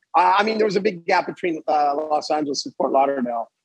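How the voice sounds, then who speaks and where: The sound is dry and close, with no echo. A man with a Montreal accent speaks at a fairly high pitch with ordinary pitch variation. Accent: Montreal anglophone Canadian. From Canada, Montreal (English-speaking area). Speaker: yacht captain. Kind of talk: casual interview. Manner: hesitant, repeats words.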